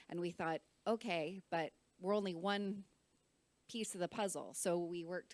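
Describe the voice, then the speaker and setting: Using an ordinary speaking voice, a woman speaks with ordinary pitch variation at a moderate pace. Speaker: NGO representative, panel speaker. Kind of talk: conference panel talk. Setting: conference room with interpreters.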